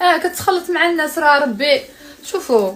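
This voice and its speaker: A woman's animated tone and lively intonation over noticeable background noise. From Morocco, Tangier. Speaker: social media influencer. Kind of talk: casual live stream chat.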